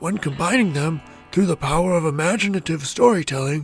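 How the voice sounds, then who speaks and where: Over background music, a man does a put-on character voice, high-pitched and fairly quick. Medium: audio drama. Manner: folksy, fatherly.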